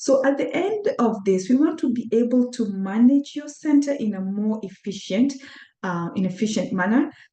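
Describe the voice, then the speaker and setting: A woman with a Kenyan accent, a high pitch, a dark, mellow tone, lively intonation, and a moderate pace. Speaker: accountant and workshop presenter. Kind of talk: webinar presentation. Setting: online webinar. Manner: hesitant, with many fillers.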